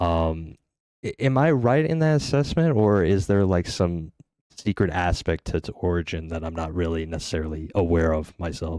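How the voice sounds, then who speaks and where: At a moderate pace, a man speaks with a very deep, low pitch, a dark, mellow tone and ordinary pitch variation. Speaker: podcast host. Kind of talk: casual interview. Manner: soft-spoken.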